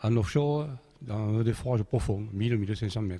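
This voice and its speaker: Somewhat breathy, a man speaks in a medium pitch. His tone is dark and mellow. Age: 70s. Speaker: inventor and engineer. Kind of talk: interview. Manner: halting.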